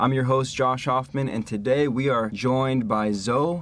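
With an American accent, a man in an ordinary speaking voice talks at medium pitch and a moderate pace. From Los Angeles, US. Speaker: podcast host. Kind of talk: interview conversation. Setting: studio.

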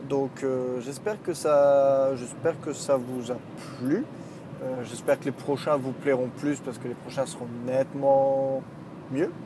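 A man speaks very slowly, his intonation fairly even, while background noise is noticeable. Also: medium pitch for a man. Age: 30s. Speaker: podcaster and video maker. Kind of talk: solo monologue while driving. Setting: in a car. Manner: halting, many fillers and repeats.

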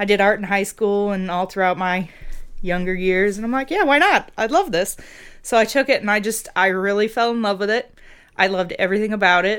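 In a very clean recording with a silent background, a woman speaks at medium pitch and a fairly quick pace with ordinary pitch variation. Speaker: makeup effects artist. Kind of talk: casual chat. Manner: loud; animated.

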